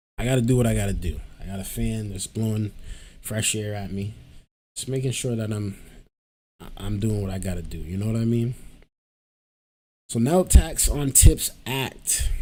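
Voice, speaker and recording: A man's fairly low, dark, mellow voice at a moderate pace, with big swings in loudness, ordinary pitch variation and long, frequent pauses, on a very clean recording with a silent background. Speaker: political commentary youtuber. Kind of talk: casual commentary.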